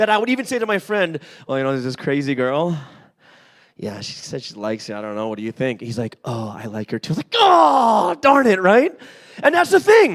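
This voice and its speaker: A man talks at a fairly quick pace. His loudness swings a lot and his pitch swings very widely. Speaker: pastor. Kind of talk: sermon. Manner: animated.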